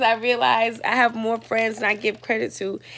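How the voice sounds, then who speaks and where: Delivered at a moderate pace, the speech has a bright, sharp tone. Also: woman. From West Indian family, raised in Brooklyn, New York. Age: 40s. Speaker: performance artist and vlogger; vlogger. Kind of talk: personal video journal monologue. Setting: hotel room with children in background. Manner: casual, rambling. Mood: reflective, at times frustrated. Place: home room. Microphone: earbuds.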